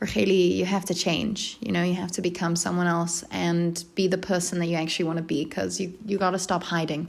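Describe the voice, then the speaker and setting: A woman with vocal fry and fairly low pitch speaks at a fairly quick pace, with fairly even intonation, very even loudness and hardly any pauses. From UK, then South Africa from age 15. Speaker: podcast co-host. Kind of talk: casual interview chat.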